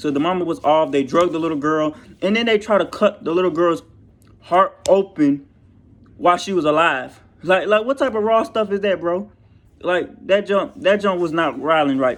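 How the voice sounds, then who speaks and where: Against a quiet background, a man with a high pitch talks in an animated tone with lively intonation. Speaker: YouTuber movie reviewer. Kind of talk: casual movie review vlog. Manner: fast.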